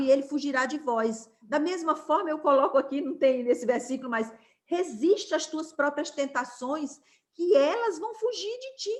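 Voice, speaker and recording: This woman's high-pitched voice shows very wide pitch swings. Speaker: Bible study teacher. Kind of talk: Bible study lesson.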